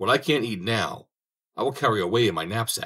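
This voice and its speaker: Using a put-on character voice, a man growls at a fairly quick pace. His pitch sits in the medium range. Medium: read story. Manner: brash, wheedling.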